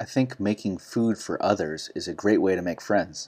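This man has an ordinary speaking voice with an American accent. He speaks at a moderate pace in a fairly low pitch. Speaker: English teacher. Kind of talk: language lesson, explaining and correcting. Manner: clear, teacherly.

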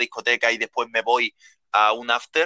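The sound is dry and close, with no echo. A bright, sharp tone comes through. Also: man. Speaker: hospitality worker. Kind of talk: casual chat. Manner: halting.

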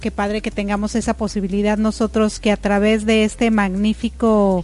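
A woman with a fairly high pitch at a moderate pace. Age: 40s. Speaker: radio host. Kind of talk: casual chat. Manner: animated.

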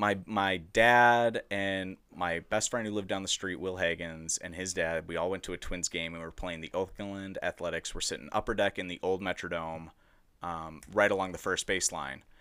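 A man's very deep, low voice with an American accent and a bright, sharp tone, moderate pace, fairly even intonation, on a very clean recording with a silent background. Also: hardly any pauses. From Edina, Minnesota. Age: 20s. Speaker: guest. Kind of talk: casual chat.

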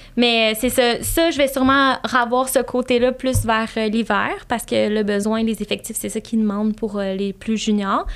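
On a very clean recording with a silent background, a woman with a Quebec accent speaks at a fairly slow pace and a fairly high pitch, with fairly even intonation and hardly any pauses. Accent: Québécois French. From Quebec, Saint-Hyacinthe south of Montreal. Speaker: flight attendant. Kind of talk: casual interview.

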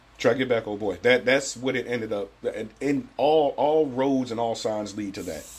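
With an American accent and an unremarkable speaking voice, a man talks at a moderate pace with hardly any pauses, a medium pitch and ordinary pitch variation. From Cleveland, US Midwest. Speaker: podcast co-host. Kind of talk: casual chat.

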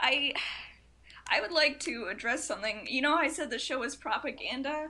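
A woman with a high pitch and a bright, sharp tone speaks in a raised, projected voice at a moderate pace, with ordinary pitch variation. Long, frequent pauses break up her speech against a quiet background. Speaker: podcast guest. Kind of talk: casual chat. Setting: recording in a dorm room.

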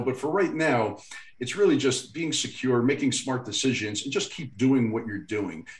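Over noticeable background noise, a man with a medium pitch speaks at a fairly quick pace with lively intonation. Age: 40s. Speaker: finance podcast co-host. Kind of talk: casual chat.

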